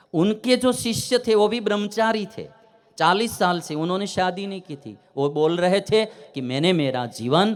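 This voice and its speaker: Speaking with a Gujarati accent, a man uses very wide pitch swings. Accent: Gujarati-accented Hindi, praised as good. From Gujarat, India. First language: Gujarati (speaking Hindi). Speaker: religious storyteller. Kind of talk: religious discourse.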